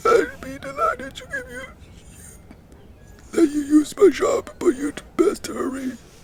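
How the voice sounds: A put-on character voice from a man, extremely high-pitched, with long, frequent pauses. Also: fairly slow pace.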